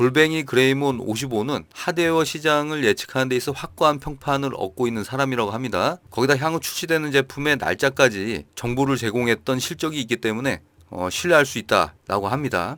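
A man with a normal speaking voice at a fairly quick pace and medium pitch, ordinary pitch variation, hardly any pauses, very clean recording with a silent background. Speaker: gaming news youtuber. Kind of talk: news roundup with casual commentary. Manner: conversational.

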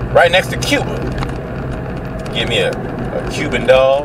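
Someone talks at a fairly slow pace in a dry sound with no echo, over loud background noise. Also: man. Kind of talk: casual vlog chat. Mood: relaxed, joking. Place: car. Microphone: camera far.

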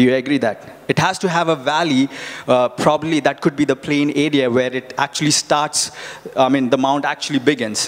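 A man's fairly high-pitched voice at a fairly quick pace. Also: fairly even intonation. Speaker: preacher. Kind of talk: sermon with live congregation interaction, Bible reading and teaching. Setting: church with congregation. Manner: conversational, repeats words and phrases, halting, asks audience questions; earnest, encouraging. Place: church. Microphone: handheld.

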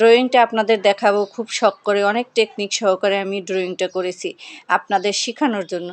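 A woman talks at a medium pitch. Her intonation stays fairly even. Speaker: sewing and embroidery YouTuber. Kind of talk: reading aloud a first-person story.

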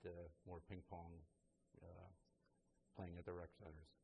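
Somewhat breathy, a man speaks in a very deep, low pitch with a dark, mellow tone and monotone, flat intonation. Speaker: recreation center director. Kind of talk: interview. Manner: halting.

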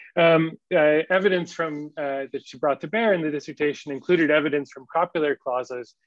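A man with an unremarkable speaking voice, fairly high pitch, ordinary pitch variation, and a fairly quick pace. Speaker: academic introducing the lecturer. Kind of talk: formal introduction. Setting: video call.

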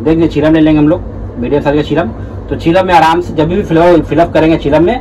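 A man talks with fairly even intonation over light background noise. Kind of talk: tutorial. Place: shop. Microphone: phone near.

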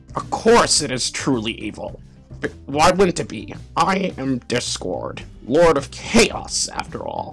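A man's put-on character voice, fairly high in pitch and fairly slow, over faint music in the background. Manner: theatrical.

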